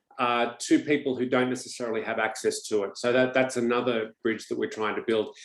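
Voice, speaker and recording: In an Australian accent, a man talks at a fairly quick pace and medium pitch. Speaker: economist, webinar host. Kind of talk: webinar introduction. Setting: online webinar.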